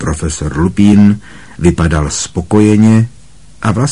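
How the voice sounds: Pitch shifts in an ordinary way here. The voice is a natural reading voice.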